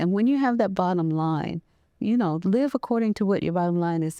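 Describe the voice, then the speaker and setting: A woman speaks with an American accent in a dark, mellow tone. Her intonation is lively, and the sound is dry and close with no echo. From US Midwest, Waterloo, Iowa. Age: 80s+. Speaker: veteran and counselor. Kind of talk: interview. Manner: soft-spoken; halting.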